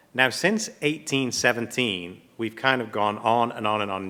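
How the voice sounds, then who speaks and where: With an English accent and a bright, sharp tone, the speaker talks at a moderate pace with ordinary pitch variation on a very clean recording with a silent background. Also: man. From England. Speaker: platinum refining company representative. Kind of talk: panel presentation.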